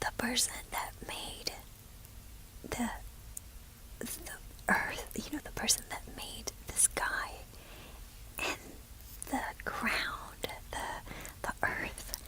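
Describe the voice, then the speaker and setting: Very slow whispering broken by long, frequent pauses, noticeable background noise underneath. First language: Spanish. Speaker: ASMR creator. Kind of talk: whispered Bible reflection. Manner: halting.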